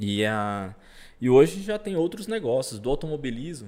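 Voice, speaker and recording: At a moderate pace, a man talks in a medium pitch with a dark, mellow tone. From Brazil, southern Pará (Parauapebas). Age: 30s. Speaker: racing driver. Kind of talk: casual interview chat.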